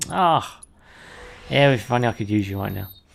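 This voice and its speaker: A speaker with a British accent. The pace is fairly quick. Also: man. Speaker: video game streamer. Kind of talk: gameplay commentary. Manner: rambling, halting.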